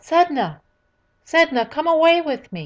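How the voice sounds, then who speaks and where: In a very clean recording with a silent background, a woman puts on a character voice, high-pitched and at a fairly slow pace. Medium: solo performance.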